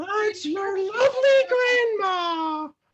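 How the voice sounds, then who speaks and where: Using a put-on character voice, a woman speaks at an extremely high pitch with lively intonation. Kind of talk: comic improv acting. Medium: stage play.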